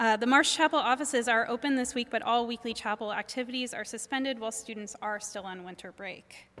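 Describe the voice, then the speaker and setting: A woman talks at a very fast pace with a bright, sharp tone and big swings in loudness. Her pitch is fairly high with ordinary variation, and the recording is very clean with a silent background. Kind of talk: announcements. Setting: church.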